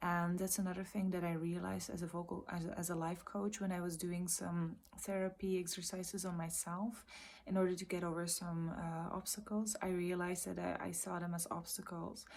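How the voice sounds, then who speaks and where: Soft-spoken and fairly low-pitched, a woman talks at a fairly quick pace with monotone, flat intonation. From Belgium. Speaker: vlogger, trainee vocal coach and life coach. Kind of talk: casual vlog monologue. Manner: halting.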